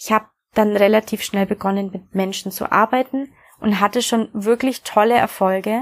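A woman with a fairly high pitch speaks in an ordinary speaking voice at a moderate pace, her intonation fairly even and the sound dry and close with no echo. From Bavaria, Germany. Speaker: podcast host, coach and hypnotherapist. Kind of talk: personal introduction monologue.

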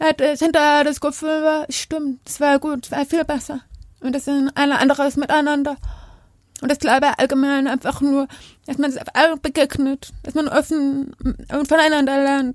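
A woman speaks in a high pitch at a moderate pace with monotone, flat intonation. The sound is dry and close, with no echo. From Germany, village. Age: 30s. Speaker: deaf actress and dancer. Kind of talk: interview.

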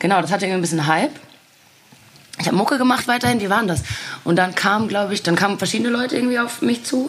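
Amid noticeable background noise, a woman speaks at a very fast pace with long, frequent pauses, lively intonation and a medium pitch. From Ruhr area, Germany. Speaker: singer and actress. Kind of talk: casual chat.

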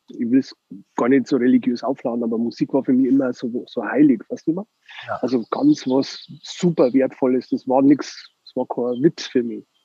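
A man of medium pitch with a Bavarian accent, at a moderate pace and with fairly even intonation, in a dry, close sound with no echo. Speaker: record label owner. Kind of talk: casual chat. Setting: phone call.

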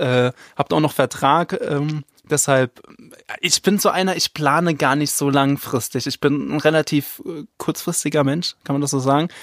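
Dry and close with no echo, a man's unremarkable speaking voice runs at a moderate pace in a fairly high pitch with fairly even intonation. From Rhineland-Palatinate, Zweibrücken near the Saarland border. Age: 20s. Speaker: tabloid editor. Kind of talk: casual chat.

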